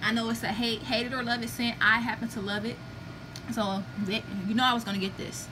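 A woman's fairly high-pitched voice at a fairly quick pace, with fairly even intonation and noticeable background noise. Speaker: beauty product reviewer, vlogger. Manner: fast talker.

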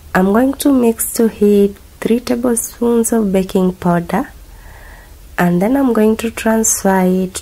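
A woman's somewhat breathy, dark and mellow voice sits at medium pitch and moves at a fairly slow pace. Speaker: cooking channel host. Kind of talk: cooking tutorial voiceover.

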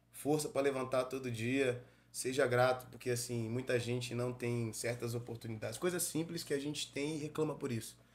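In a medium pitch, a man talks with monotone, flat intonation. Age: 30s. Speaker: pagode singer; podcast guest. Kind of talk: casual interview chat. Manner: casual, slangy. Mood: relaxed, reflective. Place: studio. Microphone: studio mic.

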